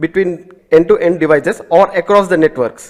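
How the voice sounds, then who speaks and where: A man with an Indian accent speaks at a moderate pace. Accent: Indian English (Telugu). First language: Telugu. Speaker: networking instructor. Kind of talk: lecture.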